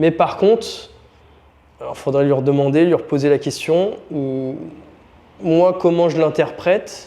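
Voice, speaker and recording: A man with a fairly high pitch and a dark, mellow tone, fairly slow with long, frequent pauses and ordinary pitch variation. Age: 30s. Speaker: strength and conditioning coach. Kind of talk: interview.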